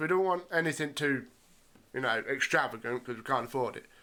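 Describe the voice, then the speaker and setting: In a bright, sharp tone, a man talks at a fairly quick pace with lively intonation. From English Midlands. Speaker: gaming youtuber. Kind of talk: gameplay commentary; casual outro to viewers. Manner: casual, hesitant with fillers.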